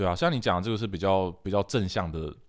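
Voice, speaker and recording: A man with a very deep, low pitch and fairly even intonation is heard on a very clean recording with a silent background. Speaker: musician and podcast host. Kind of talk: casual chat.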